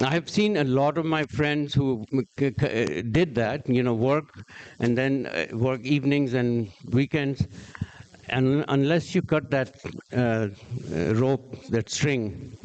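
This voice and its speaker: Over noticeable background noise, a man with a medium pitch talks at a very slow pace, with ordinary pitch variation and very even loudness. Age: 60s. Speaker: entrepreneur and investor. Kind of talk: Q&A answers. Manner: halting.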